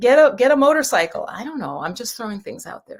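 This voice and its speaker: Animated in tone, a woman with an American accent speaks at a fairly quick pace in a high pitch. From New York, the Bronx, Jamaican family. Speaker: tarot card reader. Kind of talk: live stream card reading, casual chat.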